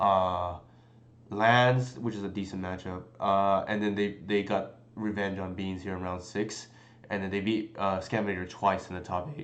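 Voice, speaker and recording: The pace is moderate and the intonation fairly even as a man speaks at a fairly low pitch. Room echo can be heard. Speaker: game streamer. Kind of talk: live stream commentary. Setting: live stream. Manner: halting.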